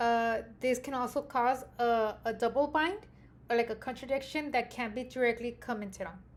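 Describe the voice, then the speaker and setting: A woman with an American accent speaks loud, with high pitch and ordinary pitch variation, at a moderate pace. The recording is very clean, with a silent background. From Mexican American, US. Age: 30s. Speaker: graduate student. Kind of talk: class presentation. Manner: hesitant with fillers.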